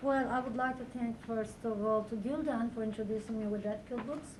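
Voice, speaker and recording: Speaking with a Turkish accent, a woman keeps a fairly even intonation. The recording carries audible room echo and noticeable background noise. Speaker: professor. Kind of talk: lecture. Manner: halting, many fillers.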